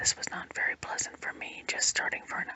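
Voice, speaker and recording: A whispering voice moves at a moderate pace through noticeable background noise. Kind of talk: read story. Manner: whispered.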